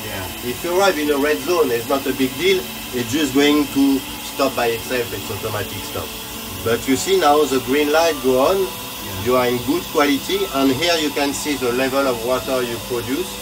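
With noticeable background noise behind him, a man keeps a moderate pace and ordinary pitch variation. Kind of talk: tutorial. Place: boat. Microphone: phone near.

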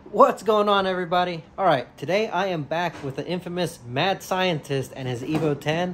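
Light background noise sits beneath speech with ordinary pitch variation. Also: man. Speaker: car vlogger. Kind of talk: casual vlog chat. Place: garage. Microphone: phone near.

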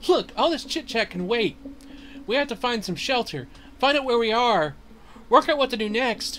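A man's put-on character voice, extremely high-pitched, with lively intonation, a moderate pace, long and frequent pauses, and clear background noise. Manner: bossy, sarcastic.

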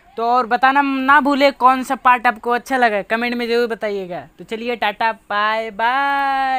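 A woman speaks very slowly in a high voice, her tone bright and sharp and her intonation fairly even. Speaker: channel host. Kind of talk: casual vlog outro. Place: open country.

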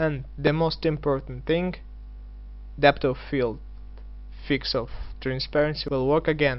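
A man with a non-native accent talks at a fairly slow pace. He leaves long, frequent pauses, with music in the background. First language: not English. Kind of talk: game mod tutorial.

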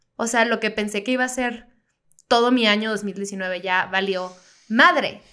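Against a quiet background, a woman speaks at a fairly slow pace in a fairly high pitch, her tone bright and sharp, with ordinary pitch variation. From Baja California, Mexico (Mexicali); Baja California, Mexico. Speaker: comedian; podcast co-host. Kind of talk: casual chat. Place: studio. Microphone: studio mic.

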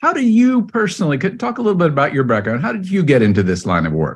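Very wide pitch swings mark this man's somewhat breathy speech, delivered at a very fast pace. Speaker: podcast host. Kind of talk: interview.

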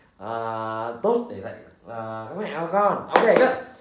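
A man's pitch swings very widely. There is audible room echo. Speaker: English teacher. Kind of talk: English lesson for children. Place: home room.

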